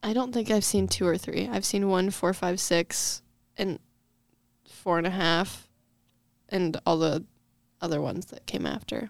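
A woman with a fairly low pitch and vocal fry speaks at a fairly slow pace, with long, frequent pauses and ordinary pitch variation. The recording is very clean, with a silent background. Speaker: podcast guest. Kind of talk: casual chat. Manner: casual, rambling.

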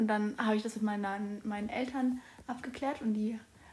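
Against noticeable background noise, a woman with a fairly high pitch speaks at a moderate pace in a monotone, flat intonation. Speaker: podcast co-host, exchange student. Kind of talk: casual chat. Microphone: far from recorder at end.

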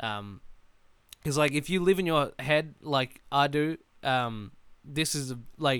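A man with an Australian accent has a fairly high pitch and ordinary pitch variation. His tone is bright and sharp, on a very clean recording with a silent background. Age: 20s. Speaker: podcast host. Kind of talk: solo casual monologue. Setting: alone in a room. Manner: rambling with many fillers.

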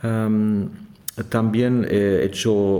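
A man with a German accent at a very slow pace, amid audible room echo and noticeable background noise. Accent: German accent, non-native Spanish. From Germany. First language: German (speaking Spanish). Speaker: organist and organ professor. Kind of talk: interview. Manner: halting with many hesitations.

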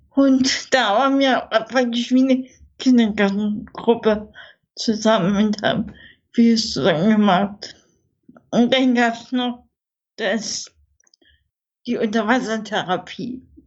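The delivery is very slow, with long, frequent pauses. Intonation stays fairly even throughout. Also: woman, fairly high pitch for a woman. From Saxony, eastern Germany (Görlitz, Dresden). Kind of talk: interview, personal life story.

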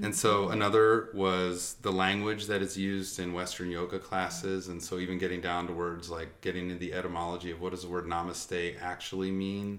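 A man speaks fairly quickly in a very deep, low pitch. His intonation is monotone and flat, and the room echo is audible. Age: student. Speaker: doctoral researcher in education. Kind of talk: casual interview. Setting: in person.

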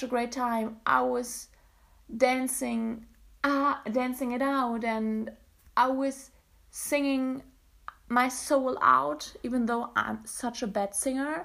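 A woman with a high voice speaks very slowly with a German accent and fairly even intonation. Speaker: podcaster, university student. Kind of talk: casual solo monologue. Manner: hesitant with fillers and self-corrections.

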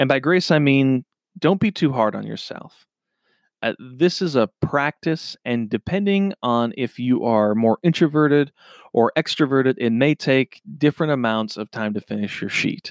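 Here is a man with an American accent and a normal speaking voice, at a medium pitch with lively intonation and a moderate pace. The very clean recording has a silent background and a dry, close sound with no echo. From Minnesota. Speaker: podcast host. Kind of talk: solo podcast monologue.

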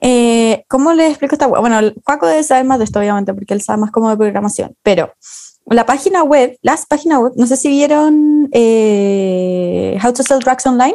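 A high-pitched woman with a Chilean accent, a dark, mellow tone, lively intonation, and very even loudness. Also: moderate pace. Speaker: podcast co-host. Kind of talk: casual chat. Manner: animated.

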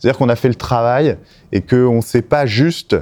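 A man's dark, mellow voice at medium pitch and moderate pace, in a very clean recording with a silent background. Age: 40s. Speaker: recruitment and employer branding specialist. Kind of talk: interview.

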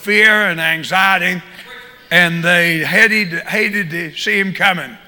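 Over noticeable background noise, a man with a Southern US accent uses a raised, projected voice, high in pitch, with fairly even intonation. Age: 70s. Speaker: visiting preacher and prison minister. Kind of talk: sermon. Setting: church.

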